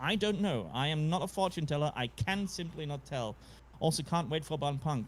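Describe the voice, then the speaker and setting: In a very clean recording with a silent background, a man speaks at a fairly high pitch with a somewhat breathy voice and ordinary pitch variation. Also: moderate pace. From Central or Eastern Europe. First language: not English. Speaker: podcast co-host. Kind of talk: casual chat. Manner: halting.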